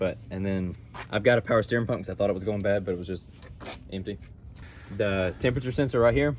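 This man talks at a very fast pace with vocal fry and a fairly low pitch that varies in an ordinary way. The sound is dry with no echo, and there is light background noise. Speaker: car seller. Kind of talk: casual explanation. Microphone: phone near.

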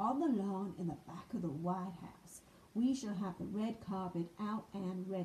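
The voice here is an unforced reading voice. Nothing about the read is pushed.

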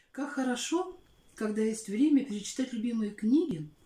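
The voice has a dark, mellow tone and audible room echo. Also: woman. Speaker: Russian language and literature teacher. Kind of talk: spoken introduction to a poem. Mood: warm, nostalgic, expressive.

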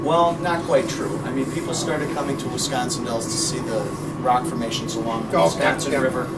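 A man talks at a very fast pace with ordinary pitch variation. Loud background noise runs behind him. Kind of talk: interview answer. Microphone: camera far.

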